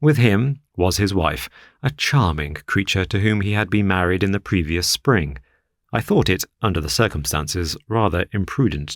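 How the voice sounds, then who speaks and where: Against a silent background on a very clean recording, a man with a very deep, low pitch speaks with lively intonation. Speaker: audiobook narrator. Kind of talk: audiobook reading of classic fiction.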